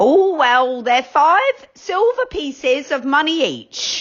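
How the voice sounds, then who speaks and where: Using a put-on character voice, a woman speaks high in pitch at a very slow pace with lively intonation. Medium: read story. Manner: curt, cross.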